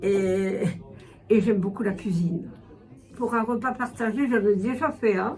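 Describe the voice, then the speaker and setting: A woman talks at a fairly slow pace with a dark, mellow tone. Her voice is somewhat breathy, and there is audible room echo. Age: 70s. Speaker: retired volunteer tutor. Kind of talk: interview testimony. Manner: hesitant, many fillers.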